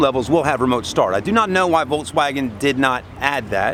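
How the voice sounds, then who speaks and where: Noticeable background noise runs under a man whose intonation is lively. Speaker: car reviewer. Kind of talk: product review walkaround. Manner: casual.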